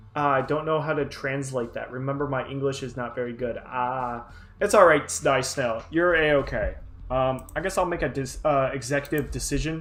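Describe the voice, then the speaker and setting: At a moderate pace, a man with a fairly high pitch keeps his intonation fairly even. Audible room echo can be heard. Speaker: artist livestreamer. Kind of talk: casual livestream chat while drawing. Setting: livestream. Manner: halting, many fillers.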